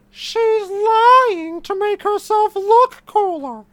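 Doing a put-on character voice, a man speaks at a very slow pace in an extremely high pitch. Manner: shrill, hostile.

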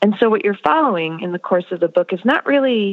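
A woman's normal speaking voice with an American accent, lively intonation and a fairly quick pace. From US. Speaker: author. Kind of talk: interview. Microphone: poor audio quality.

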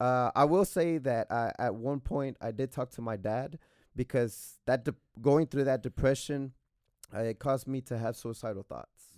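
A man speaks at a moderate pace with a medium pitch and ordinary pitch variation. The sound is dry and close with no echo. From Texas, Waco. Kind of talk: testimony. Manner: soft-spoken.

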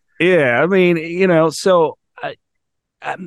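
In a quiet background, a man speaks with an American accent. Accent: sounds Texan to others. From California. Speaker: podcast host and recovery coach. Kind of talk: interview conversation.

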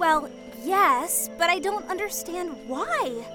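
Clear music plays in the background as a woman does a put-on character voice. Her pitch is extremely high and her pace is slow. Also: lively intonation.

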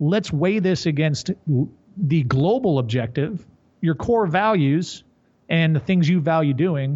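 An ordinary speaking voice, a man's, fairly high in pitch, with lively intonation at a fairly slow pace. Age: 30s. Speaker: strength coach and company executive. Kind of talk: casual chat.

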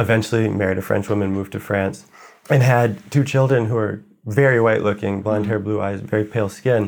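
Speaking at a fairly quick pace with an American accent, a man has an unremarkable speaking voice, fairly low in pitch, with fairly even intonation. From United States. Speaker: writer. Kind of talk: interview conversation.

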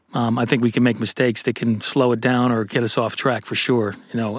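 This man, with an American accent, has a medium pitch and monotone, flat intonation. He talks at a very fast pace. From upstate New York (Syracuse). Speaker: actor. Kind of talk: casual interview. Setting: studio. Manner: halting.

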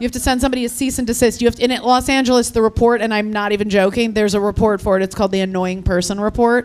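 Her pitch fairly high, a woman speaks at a very fast pace with fairly even intonation and hardly any pauses. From Ukraine. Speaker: comedian. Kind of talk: casual chat. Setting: stage with audience. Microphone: mic cutting out.

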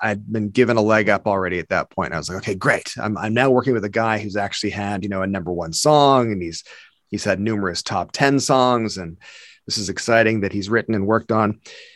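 A man's fairly low, plain, everyday voice at a fairly quick pace, with ordinary pitch variation, on a very clean recording with a silent background. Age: 50s. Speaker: comedy video creator. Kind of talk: casual chat.

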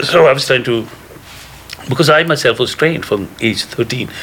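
A man at a fairly quick pace, with ordinary pitch variation, over noticeable background noise. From India. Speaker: cannabis advocate and film director. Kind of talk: storytelling interview.

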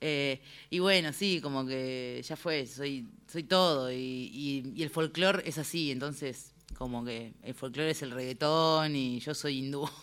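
A woman with a very deep, low pitch and ordinary pitch variation at a fairly slow pace, on a very clean recording with a silent background. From Argentina, Buenos Aires conurbano (Remedios de Escalada, Lanús). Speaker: singer-songwriter. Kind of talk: interview chat.

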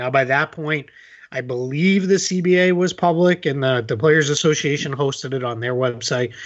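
This man has an American accent and a normal speaking voice, pitched fairly high. He talks at a moderate pace with ordinary pitch variation. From Boston area, US. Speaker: basketball writer. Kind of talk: casual interview.

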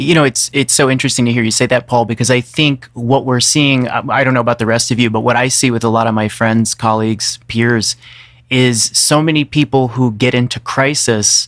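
With a plain, everyday voice, a man speaks at a medium pitch and a fairly quick pace, keeping very even loudness and fairly even intonation. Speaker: podcast co-host. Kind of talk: casual reflective conversation.

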